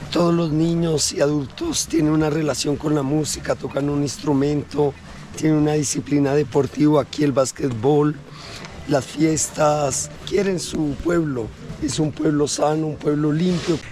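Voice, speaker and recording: A man with a Colombian accent speaks at a fairly high pitch with fairly even intonation while noticeable background noise runs behind him. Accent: sweet Colombian. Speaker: local resident and guide. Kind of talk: casual chat.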